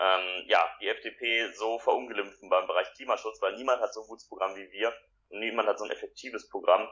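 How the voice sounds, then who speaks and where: A man talks at a very fast pace. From Ruhr area, Germany (Essen). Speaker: youth party official. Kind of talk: interview.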